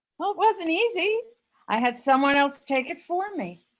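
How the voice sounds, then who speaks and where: This put-on character voice sounds squeaky and moves at a moderate pace. Its pitch swings very widely. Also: woman, extremely high pitch for a woman. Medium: audio drama. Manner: giggly, flirtatious.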